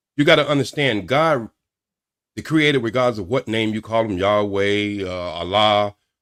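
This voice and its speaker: Here a man with a plain, everyday voice speaks fairly low in pitch, with ordinary pitch variation, at a moderate pace. The recording is very clean, with a silent background. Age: 60s. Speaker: caller on a live dating talk show. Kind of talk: heated debate.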